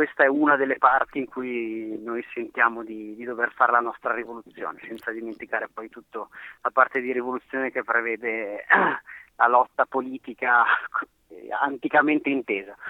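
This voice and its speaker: A man's medium-pitched, monotone and flat delivery at a moderate pace, with long, frequent pauses and big swings in loudness. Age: 30s. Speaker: hiking route host, mountain resident. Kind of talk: interview.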